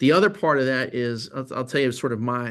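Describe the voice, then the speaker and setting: A man with a medium-pitched voice speaks in an animated tone at a fairly quick pace against a quiet background. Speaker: creative agency presenter. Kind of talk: talk to an audience. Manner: fast.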